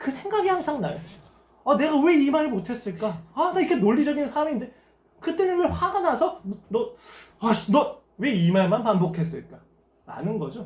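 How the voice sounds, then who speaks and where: This man's voice swings very widely in pitch. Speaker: pastor. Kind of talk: sermon. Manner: fast.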